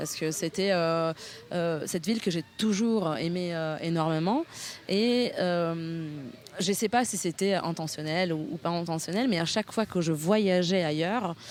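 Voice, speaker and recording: The speaker goes at a fairly slow pace with ordinary pitch variation. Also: woman, fairly low pitch for a woman. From northern Italy, near Milan. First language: Italian (speaking French). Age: 30s. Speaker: political party co-president. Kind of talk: interview. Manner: hesitant, many fillers.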